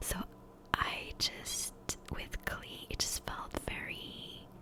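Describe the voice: A woman whispers at a slow pace.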